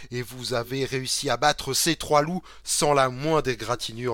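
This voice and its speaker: A man with an eastern French accent speaks at a fairly slow pace. His pitch is medium, with ordinary variation. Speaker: game master and podcast host. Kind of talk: reading aloud a gamebook; casual live-stream chat. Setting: live stream with chat.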